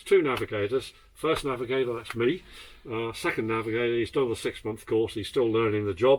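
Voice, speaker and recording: The pace is fairly quick. A man delivers it in a British accent. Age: 80s+. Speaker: former RAF navigator and aircraft tour guide. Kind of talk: guided tour. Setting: inside aircraft with visitors. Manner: animated.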